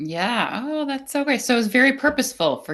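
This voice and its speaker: The voice makes very wide pitch swings against a quiet background. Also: woman. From United States, Czech immigrant family. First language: Czech. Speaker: business coach. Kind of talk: casual interview chat.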